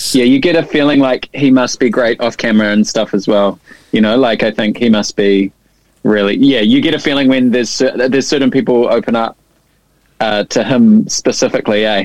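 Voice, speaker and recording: A man with a New Zealand accent speaks at a fairly quick pace, with medium pitch and fairly even intonation. The sound is dry and close, with no echo. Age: 30s. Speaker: drummer and producer. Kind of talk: casual chat. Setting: video call.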